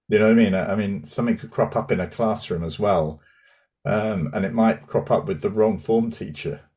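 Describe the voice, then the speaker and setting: Ordinary pitch variation runs through a normal speaking voice delivered at a fairly quick pace. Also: man, fairly low pitch for a man. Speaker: podcast host. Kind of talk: casual interview chat. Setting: video call.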